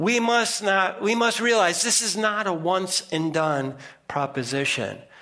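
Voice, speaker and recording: A man's high, projected voice with an American accent, lively intonation and a fairly slow pace over noticeable background noise. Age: 60s. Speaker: preacher. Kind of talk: sermon. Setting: church.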